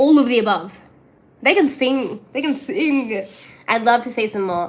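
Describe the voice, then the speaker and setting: In a high voice, a woman talks with lively intonation and an animated tone. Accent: strong Australian. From Australia. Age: 20s. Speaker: streamer. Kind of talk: casual chat.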